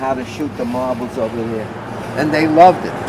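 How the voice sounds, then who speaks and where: Through noticeable background noise, a man with a New York accent talks at a moderate pace and a medium pitch. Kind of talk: interview answer.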